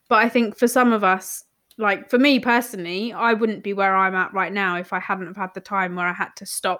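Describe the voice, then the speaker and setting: A woman with a British accent talks at a moderate pace and medium pitch, with ordinary pitch variation and a bright, sharp tone. The recording is very clean, with a silent background. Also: big swings in loudness. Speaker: podcast host, marketing coach. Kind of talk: casual interview chat. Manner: animated, swears casually.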